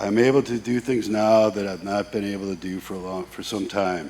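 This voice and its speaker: At a moderate pace and with fairly even intonation, this is an ordinary speaking voice. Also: man. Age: 50s. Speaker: fitness client. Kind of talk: testimony.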